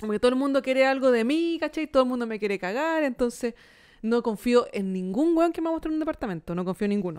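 With a Chilean accent, a woman talks very fast in a high voice with very wide pitch swings, against a quiet background. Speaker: comedy podcast co-host. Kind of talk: casual chat. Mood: amused storytelling. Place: studio. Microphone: studio mic.

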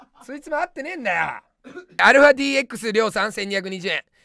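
A man's raised, projected voice, extremely high in pitch, bright and sharp in tone, with lively intonation, a dry sound with no echo and a quiet background. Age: 30s. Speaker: comedian. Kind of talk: live-stream comment rants. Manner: loud. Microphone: webcam.

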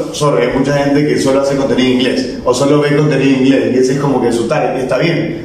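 Amid light background noise and strong room echo, a man with a coastal Ecuadorian accent talks fairly quickly at a fairly high pitch. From Ecuador, Guayaquil. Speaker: social media content creator. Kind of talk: casual chat. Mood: relaxed, jokey. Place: studio.

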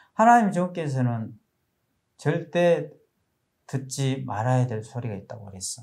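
At a fairly slow pace with long, frequent pauses, a man of medium pitch talks in a somewhat breathy voice with lively intonation. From South Korea. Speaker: preacher. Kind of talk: sermon. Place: studio. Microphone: lapel.

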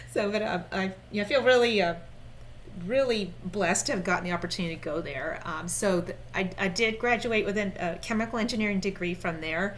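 Light background noise sits behind a woman with an American accent who uses ordinary pitch variation. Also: medium pitch for a woman, fairly quick pace. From Florida, US. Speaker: software company director. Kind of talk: interview and product demo. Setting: remote call. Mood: warm, animated. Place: home room.

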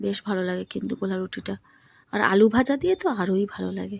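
A woman talks with a dark, mellow tone. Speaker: lifestyle vlogger. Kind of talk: casual vlog narration.

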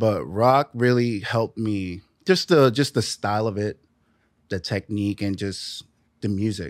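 A man with a New York accent, fairly low pitch and ordinary pitch variation at a fairly slow pace, in a dry sound with no echo and a quiet background. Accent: New York (Bronx). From New York, the Bronx. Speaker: drummer; podcast guest. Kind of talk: casual interview chat. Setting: studio. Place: studio.

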